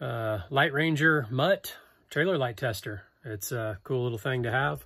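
The speaker is a man. He talks at a moderate pace. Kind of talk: product review vlog wrap-up. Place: workshop. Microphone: phone near.

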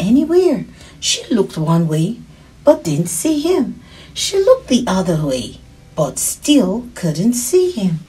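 Text read aloud plainly

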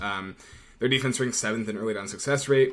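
Ordinary pitch variation marks this man's speech. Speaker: betting analyst. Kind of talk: sports betting commentary. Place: home room. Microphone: webcam.

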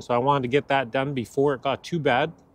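The sound is dry with no echo as a man talks at a very fast pace. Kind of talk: casual vlog chat. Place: street. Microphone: phone near.

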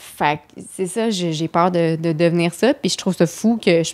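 This is a woman speaking. Her pitch is fairly low. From Quebec City suburbs. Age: 30s. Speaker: comedian and screenwriter. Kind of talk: casual chat.

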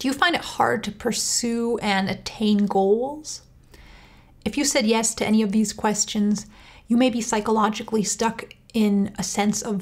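Against a quiet background, a woman speaks at a fairly slow pace, somewhat breathy, with fairly even intonation. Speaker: channel host. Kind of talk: educational talk to camera. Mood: calm, warm, earnest. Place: home room.

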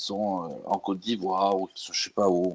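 A man with a Corsican accent, fairly low in pitch, at a moderate pace. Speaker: football fan. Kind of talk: casual chat.

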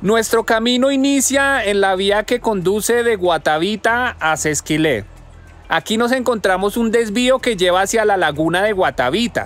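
A man talks at a moderate pace with a high pitch. Faint music plays behind him, and the sound is dry with no echo. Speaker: travel vlogger. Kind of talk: travel guide narration. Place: street. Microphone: phone near.

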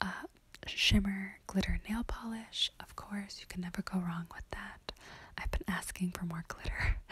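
Whispering from a woman, fairly slow in pace. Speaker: beauty vlogger. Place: home room. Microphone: phone near.

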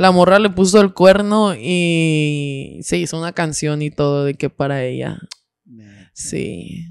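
A woman with a very deep, low pitch speaks at a very slow pace, with lively intonation and big swings in loudness. The sound is dry with no echo and the background quiet. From Mexico. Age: 20s. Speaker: podcaster. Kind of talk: casual chat. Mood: animated, laughing storytelling. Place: studio. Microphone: studio mic.

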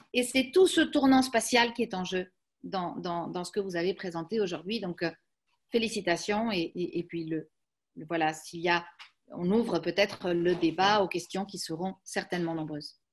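A woman speaks at a fairly slow pace. The background is quiet, and her pitch varies in an ordinary way. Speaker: academic seminar moderator. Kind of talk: academic seminar introduction. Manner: halting. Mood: warm, appreciative. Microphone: video call.

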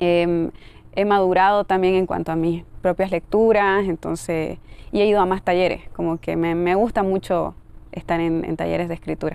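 A woman's fairly low-pitched voice in a monotone, flat intonation at a moderate pace, with dry sound and no echo. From Bolivia. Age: 30s. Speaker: poet. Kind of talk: interview. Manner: halting. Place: garden. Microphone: lapel.

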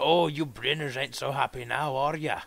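A man's put-on character voice, raspy and fairly high-pitched, at a moderate pace. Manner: threatening, taunting.

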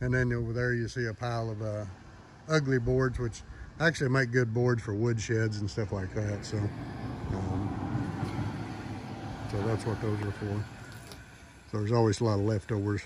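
Amid audible room echo, a man talks fairly low at a moderate pace, with little pitch movement and long, frequent pauses.

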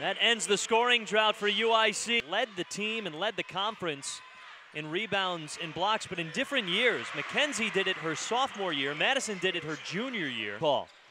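A man with a high pitch projects a raised voice in an energetic tone with lively intonation at a moderate pace. The sound is dry with no echo, though noticeable background noise is present. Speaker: play-by-play commentator. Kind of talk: live sports commentary. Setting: broadcast from arena. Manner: energetic, rising on big baskets. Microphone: headset.

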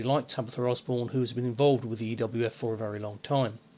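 A man speaks at medium pitch with a monotone, flat intonation. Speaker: online wrestling federation owner. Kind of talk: announcement to listeners.

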